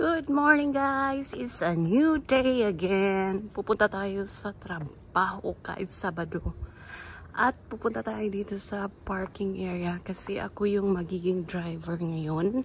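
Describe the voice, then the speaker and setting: Speaking very slowly, a woman uses a medium pitch with very wide swings and a somewhat breathy sound. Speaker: vlogger, caregiver. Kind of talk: vlog narration. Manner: casual, upbeat.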